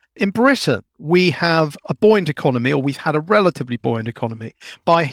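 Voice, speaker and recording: A man with a southern English accent at a fairly quick pace, in a dry, close sound with no echo, on a very clean recording with a silent background. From London, England. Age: 50s. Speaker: author and demographer. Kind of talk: interview.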